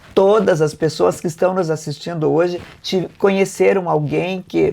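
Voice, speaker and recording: A woman speaks at a fairly slow pace in a dark, mellow tone with vocal fry. The recording is very clean, with a silent background. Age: 70s. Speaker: mayor and election candidate. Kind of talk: political interview.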